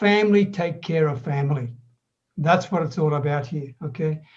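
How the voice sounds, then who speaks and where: A man with an Australian accent is talking. His high voice moves at a moderate pace. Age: 70s. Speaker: online business coach. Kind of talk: podcast interview.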